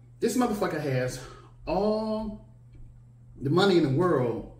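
A man talks at a moderate speed. Room echo can be heard around his voice. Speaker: vlogger. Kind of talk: casual vlog commentary. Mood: irritated, mocking rant. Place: home room.

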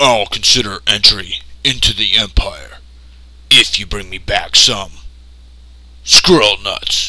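Doing a cartoonish character voice, a man speaks at a fairly slow pace with long, frequent pauses over light background noise. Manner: pompous, deadpan, commanding.

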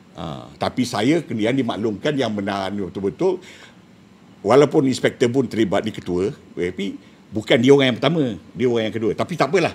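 A man at a moderate pace. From Malaysia. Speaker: retired special branch officer; guest. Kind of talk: casual chat. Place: studio. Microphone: lapel.

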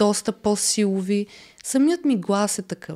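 Against a quiet background, a woman talks at a very slow pace. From Bulgaria. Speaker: reality TV contestant; podcast guest. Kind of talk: casual interview. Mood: relaxed, candid. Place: studio. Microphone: studio mic.

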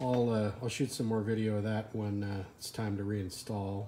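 Over light background noise, a man speaks in a fairly low, dark, mellow and somewhat breathy voice with monotone, flat intonation. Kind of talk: casual vlog chat. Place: garage. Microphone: phone near.

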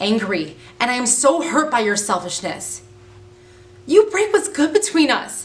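Her pitch swings very widely as the woman speaks. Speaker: actor performing a monologue. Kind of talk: dramatic acting monologue. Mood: angry, hurt, upset. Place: home room.

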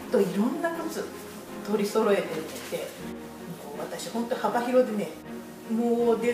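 With clear music in the background and audible room echo, a woman speaks at a moderate pace with a fairly high pitch. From Kakamigahara, Gifu, Japan. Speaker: shoe shop customer giving testimonial. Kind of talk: interview answer. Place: shop. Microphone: camera far.

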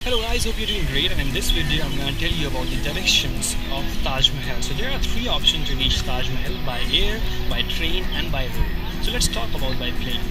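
Loud music fills the background. Over it, a man talks at a fairly quick pace. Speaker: travel vlogger. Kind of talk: casual vlog chat. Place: garden. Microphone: phone near.

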